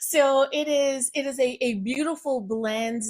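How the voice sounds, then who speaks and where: In an American accent, a woman speaks with fairly even intonation on a very clean recording with a silent background. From US South, Virginia. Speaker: pastoral counselor and empowerment coach. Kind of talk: podcast interview.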